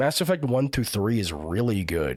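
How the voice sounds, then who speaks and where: A man speaks at a fairly slow pace and a medium pitch, with vocal fry. His very wide pitch swings come through on a very clean recording with a silent background. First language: not English. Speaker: live streamer. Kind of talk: casual chat. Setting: live stream.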